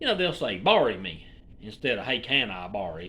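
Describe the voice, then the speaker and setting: The man speaks at a moderate pace. Room echo is audible. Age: 40s. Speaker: YouTuber. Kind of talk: casual rant to camera.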